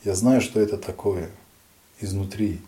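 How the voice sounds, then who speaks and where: A man with a plain, everyday voice talks at a moderate pace, his pitch fairly low with ordinary variation. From Dagestan, Russia. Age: young. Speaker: head of a local society for the blind, lawyer. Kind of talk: radio interview.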